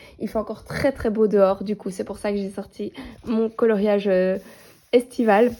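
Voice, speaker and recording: A woman delivers her words in a monotone, flat way at a moderate pace, with noticeable background noise behind her. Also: medium pitch for a woman. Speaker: coloring hobby vlogger. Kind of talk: casual vlog. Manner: hesitant, many fillers.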